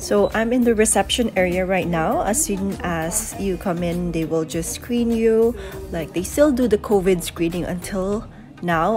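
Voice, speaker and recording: A woman's voice with ordinary pitch variation and clear music in the background. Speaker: vlogger. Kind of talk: casual vlog chat. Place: office. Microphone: phone near.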